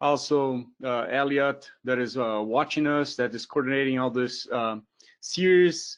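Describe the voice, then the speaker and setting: A man speaks in a Brazilian accent at a medium pitch. His intonation is fairly even. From southern Brazil, Porto Alegre. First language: Portuguese. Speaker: professor. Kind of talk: lecture. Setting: webinar.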